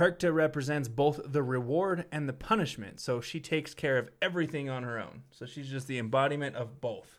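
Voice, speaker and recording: In a very clean recording with a silent background, a man has an ordinary speaking voice, speaking at a moderate pace and a medium pitch with ordinary pitch variation. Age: 20s. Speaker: podcast co-host. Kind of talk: casual chat; reading aloud.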